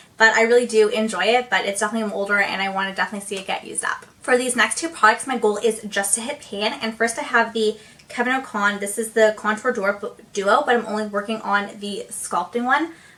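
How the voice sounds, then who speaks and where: Speaking very fast with hardly any pauses, a woman uses a fairly high pitch and an animated tone over noticeable background noise. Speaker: beauty youtuber. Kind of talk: casual product review vlog.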